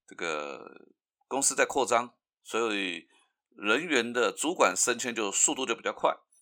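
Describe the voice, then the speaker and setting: This man's tone is bright and sharp, with very wide pitch swings. The recording is very clean, with a silent background. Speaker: podcast host. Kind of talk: solo commentary.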